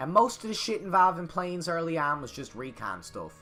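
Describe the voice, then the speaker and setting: Over music in the background, a man with a Newfoundland accent speaks at a moderate pace and high pitch. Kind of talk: comedic history narration. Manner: crude, profane, boisterous.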